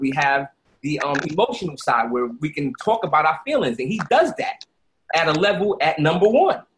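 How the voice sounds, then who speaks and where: Here a man with a Brooklyn accent makes very wide pitch swings. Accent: New York (Brooklyn). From Brooklyn, New York (Brownsville). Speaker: entrepreneur and youth basketball league founder. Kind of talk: casual interview.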